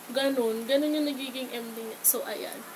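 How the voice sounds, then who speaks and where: A woman speaks at a moderate pace in a high voice. Audible room echo and noticeable background noise surround her. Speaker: beauty vlogger. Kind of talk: makeup tutorial. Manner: loud; casual, chatty.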